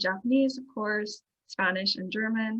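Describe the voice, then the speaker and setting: Her pitch varying in an ordinary way, a woman talks in a mid-range register. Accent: Irish Midlands. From Ireland, County Longford. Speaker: international relations coordinator. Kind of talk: presentation. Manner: casual, hesitant with fillers.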